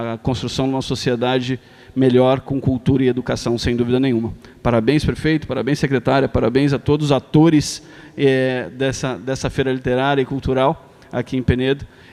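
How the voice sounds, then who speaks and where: Monotone and flat, a man with a medium pitch talks at a fairly quick pace. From Brazil, São Paulo. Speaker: foundation president. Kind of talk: ceremonial speech. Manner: hesitant, many fillers.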